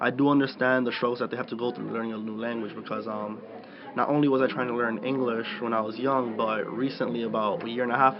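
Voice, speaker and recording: Amid noticeable background noise, a man rushes along at a very fast pace with a medium pitch and monotone, flat intonation. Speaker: college student and prospective writing tutor. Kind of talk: podcast interview answer. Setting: interview or studio.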